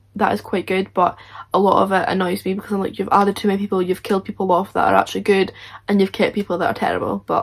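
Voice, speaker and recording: A woman at a medium pitch speaks at a very fast pace, with vocal fry in her voice. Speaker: YouTuber. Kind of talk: reaction video chat. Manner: animated.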